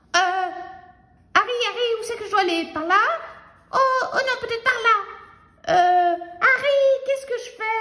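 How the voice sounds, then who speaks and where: This put-on character voice sits at an extremely high pitch, moving at a moderate pace with long, frequent pauses. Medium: read story. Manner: excited, flustered.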